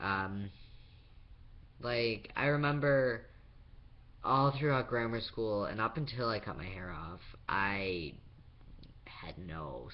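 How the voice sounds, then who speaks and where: Spoken very slowly with vocal fry and very wide pitch swings, the voice carries audible room echo. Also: man. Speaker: vlogger. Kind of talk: personal video diary. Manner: halting.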